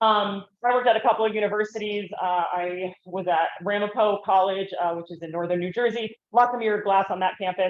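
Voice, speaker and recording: The speaker is loud and fairly quick, with fairly even intonation. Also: woman, medium pitch for a woman. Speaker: conference speaker, wildlife rehabilitator and bird bander. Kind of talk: conference talk. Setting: conference room, not using the microphone. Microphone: no microphone.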